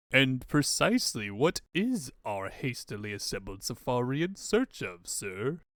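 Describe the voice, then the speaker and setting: A man's put-on character voice, medium in pitch, at a moderate pace with hardly any pauses. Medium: fan dub. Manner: deferential, addresses master as sir.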